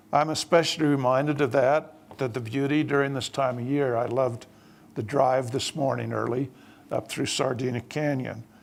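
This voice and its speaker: A man with a Utah accent at medium pitch and moderate pace, fairly even in intonation, on a very clean recording with a silent background. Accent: southern Utah. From southern Utah. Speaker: church leader. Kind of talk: panel speech. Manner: formal.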